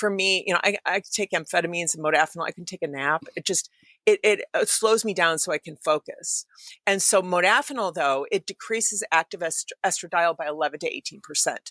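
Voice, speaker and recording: A woman speaks at a medium pitch and a fairly quick pace, her bright, sharp tone animated, with ordinary pitch variation and big swings in loudness. The recording is very clean with a silent background, dry and close with no echo. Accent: American. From Michigan, Detroit. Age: 60s. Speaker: science writer and author. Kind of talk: podcast interview. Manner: fast, animated.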